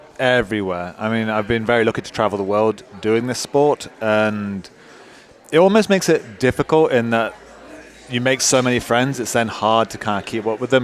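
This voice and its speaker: Over noticeable background noise, a man talks at a fairly quick pace and medium pitch, with ordinary pitch variation. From UK. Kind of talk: live commentary banter.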